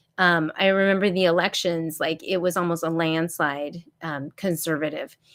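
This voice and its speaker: A speaker with a Florida accent talks in a monotone, with flat intonation. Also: woman, fairly low pitch for a woman, moderate pace. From US South, Florida (Tampa area). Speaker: homeschooling YouTuber, former teacher. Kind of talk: solo live stream chat. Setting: live stream. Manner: rambling, filler-heavy.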